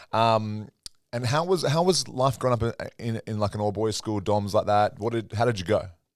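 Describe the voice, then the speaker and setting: Talking at a fairly quick pace, a man uses an Australian accent. His pitch is medium, with ordinary pitch variation. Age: 30s. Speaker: podcast host. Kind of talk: podcast interview.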